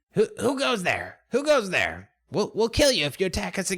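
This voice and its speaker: A man's put-on character voice, shouting at a high pitch and a moderate pace. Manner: shouting, threatening.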